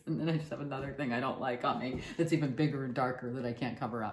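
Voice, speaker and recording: This woman's tone is animated. Noticeable background noise and audible room echo surround her voice. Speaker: painter. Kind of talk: casual chat.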